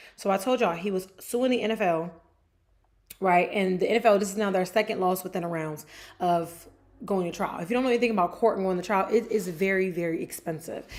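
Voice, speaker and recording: Very fast and animated, a woman in an American accent talks at medium pitch. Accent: New Jersey accent, noticed by viewers. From New Jersey. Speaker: sports show host. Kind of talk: casual chat. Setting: livestream on camera.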